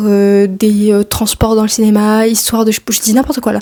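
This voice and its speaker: In a monotone with flat intonation, a woman speaks at a fairly high pitch. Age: 20s. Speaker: film studies graduate. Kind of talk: casual talk to camera. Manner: relaxed, chatty.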